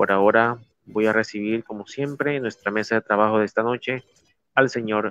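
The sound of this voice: Fairly low male pitch with a fairly bright tone and a dry, close sound with no echo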